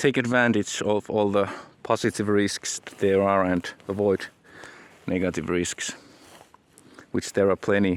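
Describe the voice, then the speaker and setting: A man with a Finnish accent speaks at a fairly low pitch and a fairly slow pace, with fairly even intonation and long, frequent pauses, in a dry, close sound with no echo. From Finland. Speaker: aspiring entrepreneur and author, vlogger. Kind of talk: casual vlog monologue. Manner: halting, many repetitions.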